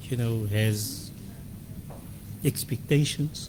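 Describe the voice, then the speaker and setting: Somewhat breathy and dark, mellow in tone, a man speaks at a medium pitch with fairly even intonation. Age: 60s. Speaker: interview guest. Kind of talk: radio interview. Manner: hesitant with fillers and repetitions.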